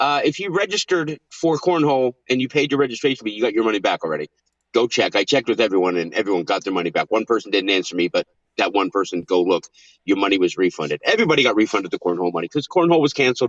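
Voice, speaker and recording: Speaking very fast, a man lets his pitch swing very widely. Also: medium pitch for a man. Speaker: weather show host. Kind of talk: casual live stream chat.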